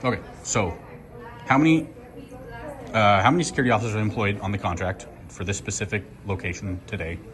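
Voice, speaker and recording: Speaking at a very fast pace, a man with a fairly low pitch uses lively intonation but leaves long, frequent pauses. Noticeable background noise runs underneath. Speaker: first amendment auditor. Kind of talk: heated confrontation and records request. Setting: hospital lobby, filmed on camera. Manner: assertive, argumentative.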